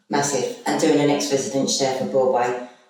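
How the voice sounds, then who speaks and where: Audible room echo surrounds a woman with a very deep, low pitch. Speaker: recovering alcoholic, former rehab resident. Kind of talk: testimony in podcast interview. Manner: loud; animated.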